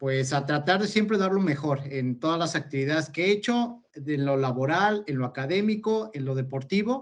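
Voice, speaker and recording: A man speaks at a moderate pace with hardly any pauses. His fairly high pitch carries lively intonation. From Mexico, Toluca, State of Mexico. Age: 30s. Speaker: multi-sport athlete. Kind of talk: interview. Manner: hesitant with fillers.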